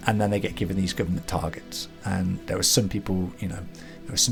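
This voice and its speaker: Music plays in the background as a man with a very deep, low pitch speaks at a fairly quick pace with ordinary pitch variation. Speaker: channel host. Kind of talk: casual commentary.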